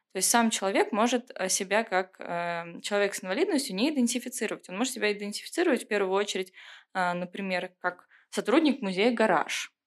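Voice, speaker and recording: Ordinary pitch variation and a fairly quick pace in an unremarkable speaking voice, captured on a very clean recording with a silent background. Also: woman, medium pitch for a woman. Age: 20s. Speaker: museum inclusion program manager. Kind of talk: casual chat. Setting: studio.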